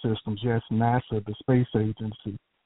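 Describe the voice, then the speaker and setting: In a Southern US accent, a man talks at a moderate pace with a medium pitch and monotone, flat intonation. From Texas, Houston. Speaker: caller, scientist and inventor. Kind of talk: call-in conversation.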